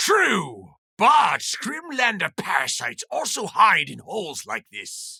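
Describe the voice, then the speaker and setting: Putting on a character voice, a man speaks in a high pitch with big swings in loudness, recorded with a dry, close sound and no echo. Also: fairly slow pace. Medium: read story.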